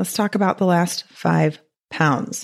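Using a put-on character voice, a woman speaks at a fairly slow pace in a raspy, medium-pitched tone.

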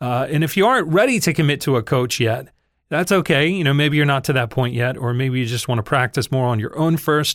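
Here is a man with an ordinary speaking voice, fairly high in pitch, with ordinary pitch variation. He speaks at a fairly quick pace in a very clean recording with a silent background. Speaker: podcast host and voiceover teacher. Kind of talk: tutorial.

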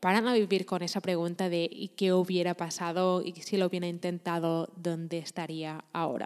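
Here is an ordinary speaking voice from a woman at a moderate pace. Her intonation is fairly even, and the recording is very clean with a silent background. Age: 20s. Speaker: podcaster and entrepreneurship coach. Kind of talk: motivational monologue.

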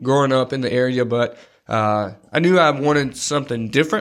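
A man with a North Carolina accent at a fairly quick pace, intonation fairly even, in a very clean recording with a silent background. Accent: Southern US (North Carolina). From US South, Robeson County, North Carolina. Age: 30s. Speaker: podcast co-host, gym marketing assistant. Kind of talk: casual chat.

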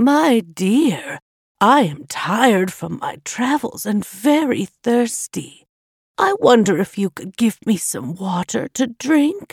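Over a silent background on a very clean recording, a female-sounding put-on character voice speaks at a fairly high pitch and a fairly slow pace. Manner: trying to sound weak and tired.

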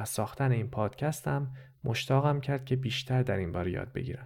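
In a very clean recording with a silent background, a man with a medium pitch talks at a fairly quick pace in a somewhat breathy, dark, mellow tone with ordinary pitch variation. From Iran, Tehran. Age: 30s. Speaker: podcast host and narrator. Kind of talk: scripted narration.

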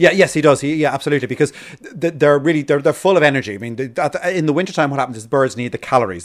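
A man talks at a very fast pace with hardly any pauses. His pitch is fairly high, with ordinary variation. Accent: Irish. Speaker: birdwatching expert and podcast co-host. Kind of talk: casual educational chat. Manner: halting, frequent repetitions.

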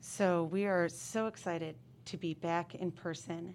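In a very clean recording with a silent background, a woman with an American accent speaks at a fairly low pitch. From upstate New York. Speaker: middle school principal. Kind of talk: casual interview.

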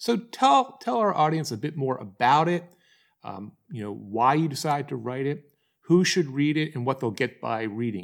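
Recorded very cleanly against a silent background, a man with an unremarkable speaking voice and a fairly high pitch talks at a moderate pace, using lively intonation and big swings in loudness. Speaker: podcast host and book publishing coach. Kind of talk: interview conversation.

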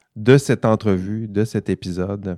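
A dark, mellow tone comes through in a Saguenay–Lac-Saint-Jean accent, in a very clean recording with a silent background and a dry, close sound without echo. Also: man. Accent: Saguenay-Lac-Saint-Jean Quebec French. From Quebec, Saguenay-Lac-Saint-Jean. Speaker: podcast host, ethics professor. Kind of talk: casual panel discussion.

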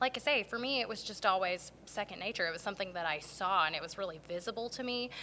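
Bright and sharp in tone, a woman speaks with ordinary pitch variation. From North Carolina (Garner). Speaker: teacher and theater performer. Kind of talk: casual interview. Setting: performing arts center.

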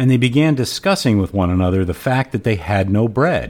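This man has an unremarkable speaking voice, talking at a moderate pace with lively intonation. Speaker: podcast host and cigar smoker. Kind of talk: scripture reading with commentary; casual podcast monologue. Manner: measured, even, reverent reading pace; warm, conversational, friendly.

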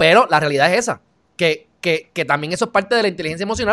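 A man's raised, projected voice with a bright, sharp tone, lively intonation and a very fast pace, on a very clean recording with a silent background. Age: 20s. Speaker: online talk show host. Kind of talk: casual interview.

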